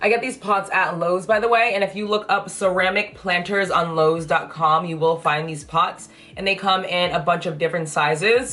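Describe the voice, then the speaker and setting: A woman at a medium pitch and moderate pace, with noticeable background noise. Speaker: plant content creator. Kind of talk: casual vlog tutorial. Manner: chatty, talkative.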